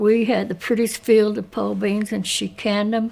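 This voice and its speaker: With an Appalachian accent, a woman speaks at a medium pitch in a monotone, flat intonation. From Appalachia, Ashe County, North Carolina. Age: 80s+. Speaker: oral history interviewee. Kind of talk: oral history interview.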